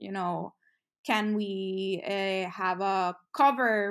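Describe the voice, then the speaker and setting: With a Spanish accent and fairly even intonation, a woman speaks on a very clean recording against a silent background. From Puerto Rico, San Juan. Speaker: music industry professional. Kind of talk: interview. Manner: frequent fillers and false starts.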